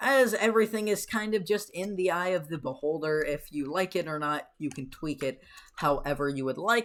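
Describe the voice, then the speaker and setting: At a moderate pace, a woman with an unremarkable speaking voice talks at a fairly low pitch with lively intonation. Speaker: game tutorial creator. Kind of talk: tutorial.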